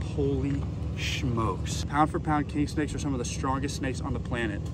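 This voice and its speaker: A man speaks at a moderate pace in a dry sound with no echo, with noticeable background noise behind him. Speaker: snake hunter vlogger. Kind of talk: casual vlog chat. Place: open country. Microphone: phone near.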